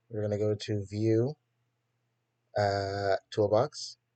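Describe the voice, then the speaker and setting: In a dry, close sound with no echo, a fairly low-pitched man speaks with a dark, mellow tone. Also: quiet background. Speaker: coding tutorial youtuber. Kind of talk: tutorial. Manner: casual, hesitant with fillers.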